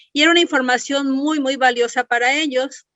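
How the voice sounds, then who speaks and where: A woman speaks at a moderate pace with a high pitch and fairly even intonation. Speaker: clinical chemist. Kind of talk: lecture. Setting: webinar.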